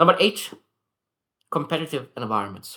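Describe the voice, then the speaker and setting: A man with a non-native accent, lively intonation and a fairly quick pace on a very clean recording with a silent background. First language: not English. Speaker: self-improvement vlogger. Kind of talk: daily reflection monologue. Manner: halting, self-correcting.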